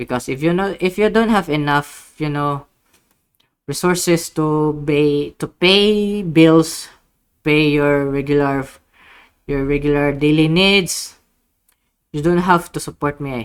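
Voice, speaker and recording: The speaker goes at a fairly slow pace, leaving long, frequent pauses. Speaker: gaming YouTuber. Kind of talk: casual vlog update. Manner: halting, many fillers and restarts.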